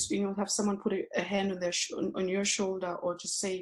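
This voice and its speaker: A somewhat breathy woman at a medium pitch, with a Zulu accent. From South Africa, township. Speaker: yoga teacher. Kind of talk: interview. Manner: halting.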